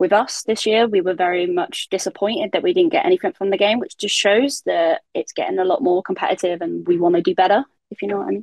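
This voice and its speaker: A woman with a southern English accent, talking at a very fast pace with hardly any pauses. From southern England. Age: 20s. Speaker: professional footballer. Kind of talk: casual interview.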